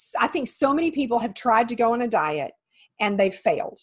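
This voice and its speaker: In an American accent, a woman speaks at a fairly high pitch and a moderate pace. Her voice is somewhat breathy. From West Texas. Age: 50s. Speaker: certified health coach. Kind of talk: interview.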